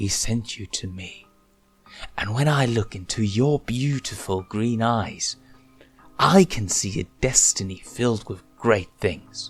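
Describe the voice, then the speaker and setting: Over background music, a man growls in a put-on character voice at medium pitch and a fairly slow pace. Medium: read story. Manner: shifts from lilting sweetness to snarl.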